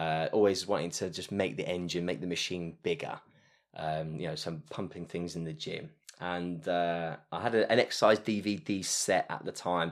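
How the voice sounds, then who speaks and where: A very clean recording with a silent background holds a man's very deep, low voice. He speaks at a moderate pace with ordinary pitch variation. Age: 30s. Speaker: yoga instructor and studio owner. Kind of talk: casual interview.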